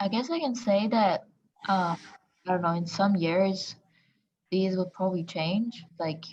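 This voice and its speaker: A woman speaks at a medium pitch in a somewhat breathy voice, with fairly even intonation. Her fairly slow delivery has long, frequent pauses. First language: not English. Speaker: workshop participant. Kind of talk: workshop discussion.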